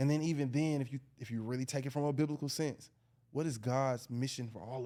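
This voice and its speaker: Speaking very fast with a dark, mellow tone and an Atlanta accent, a man swings widely in loudness on a very clean recording with a silent background. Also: medium pitch for a man, fairly even intonation. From Atlanta, US South. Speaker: educator. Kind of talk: casual podcast discussion.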